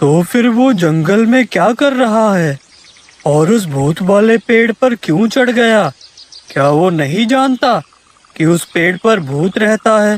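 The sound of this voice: A cartoonish character voice with fairly high pitch. It moves at a moderate pace.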